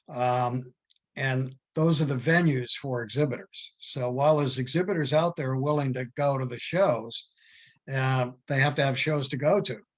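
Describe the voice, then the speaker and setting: Somewhat breathy, a man speaks at a medium pitch and moderate pace with fairly even intonation. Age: 80s+. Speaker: philatelic judge and exhibitor. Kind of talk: Q&A discussion. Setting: video call. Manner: halting, many fillers and restarts.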